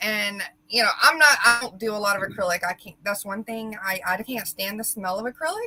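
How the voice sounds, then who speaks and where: A woman with a Southern US accent speaks at a fairly quick pace, her fairly high voice showing ordinary pitch variation. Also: big swings in loudness. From Middle Georgia, US South. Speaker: laser engraving maker and co-host. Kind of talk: casual chat.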